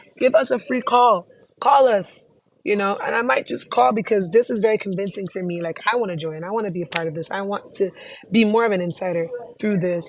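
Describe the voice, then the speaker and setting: A woman talks at a very fast pace in a medium pitch. Her tone is animated and her intonation lively. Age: young. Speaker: student vlogger presenting a class project. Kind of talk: casual presentation reviewing a website.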